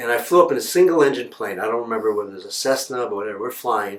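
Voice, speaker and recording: In an American accent, the man rattles off words very fast, his medium pitch rising and falling in an ordinary way. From New York City, Upper West Side. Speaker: broadcast journalist. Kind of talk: personal storytelling. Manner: casual, halting with fillers.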